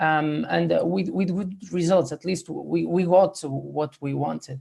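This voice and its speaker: A man speaks with a Spanish accent at a fairly slow pace. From Spain. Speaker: ICU physiotherapist. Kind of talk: panel discussion. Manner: halting, many fillers.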